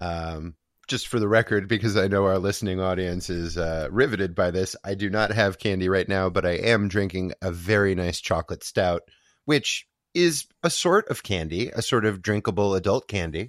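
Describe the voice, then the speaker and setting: A man with a very deep, low pitch and ordinary pitch variation speaks at a moderate pace in a playful tone. The sound is dry and close with no echo, and the background is quiet. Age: 40s. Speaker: podcast host. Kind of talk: casual chat. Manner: joking, playful.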